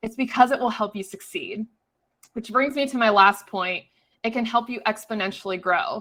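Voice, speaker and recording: A woman with a fairly high pitch talks at a fairly quick pace, her pitch varying in an ordinary way. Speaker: real estate webinar presenter. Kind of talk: webinar presentation. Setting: online webinar. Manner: fast.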